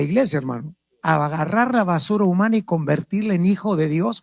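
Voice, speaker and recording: Over a quiet background, a man with a high pitch and lively intonation talks at a fairly quick pace in a dry, close sound with no echo. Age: 60s. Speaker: apostle preacher. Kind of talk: sermon.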